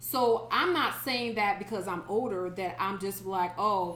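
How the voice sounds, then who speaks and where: A woman with a Southern US accent against noticeable background noise. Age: 30s. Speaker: podcast co-host. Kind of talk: casual chat.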